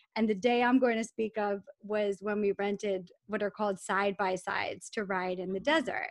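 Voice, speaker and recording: Speaking with an American accent in a plain, everyday voice, a woman keeps a moderate pace with hardly any pauses, medium pitch and fairly even intonation, in a dry, close sound with no echo. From Long Island, New York. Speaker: podcast host, personal development. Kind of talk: casual interview chat; guided meditation.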